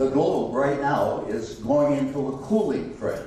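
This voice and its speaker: Very slowly, a man with a fairly high pitch speaks amid noticeable background noise and audible room echo. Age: 70s. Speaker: guest speaker, activist and former radio talk show host. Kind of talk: public talk to a breakfast meeting. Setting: stage with live audience at a country club.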